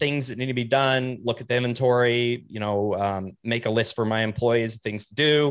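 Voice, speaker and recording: Over a quiet background, a man with medium pitch talks at a moderate pace with fairly even intonation in an unremarkable speaking voice. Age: 40s. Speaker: podcaster and bike shop owner. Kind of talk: casual chat.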